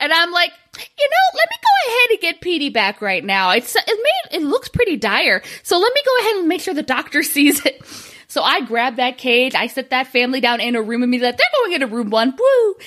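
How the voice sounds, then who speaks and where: Noticeable background noise sits behind a woman with a high voice. She speaks at a fairly quick pace, her pitch swinging very widely. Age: 30s. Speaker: comedy podcast co-host. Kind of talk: casual chat.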